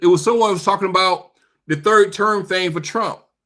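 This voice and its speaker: In an American accent, a man speaks in a raised, projected voice with a bright, sharp, animated tone, ordinary pitch variation and a moderate pace, on a very clean recording with a silent background. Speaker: political commentary streamer. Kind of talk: live stream chat responding to viewers.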